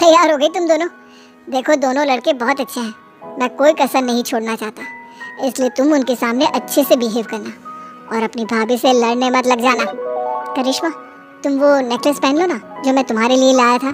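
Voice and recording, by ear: Over clear background music, a woman does a cartoonish character voice at a high pitch, talking fairly quickly but with long, frequent pauses.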